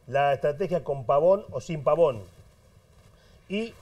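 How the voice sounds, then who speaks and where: Against a quiet background, a man with a high pitch and a dark, mellow tone speaks at a very slow pace. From Argentina. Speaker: football pundit; panelist. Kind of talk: heated debate. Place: studio. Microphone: lapel.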